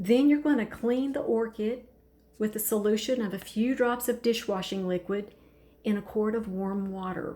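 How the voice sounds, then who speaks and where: Calm in tone, a woman talks at a moderate pace with a fairly high pitch and ordinary pitch variation. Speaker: orchid grower. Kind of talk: tutorial.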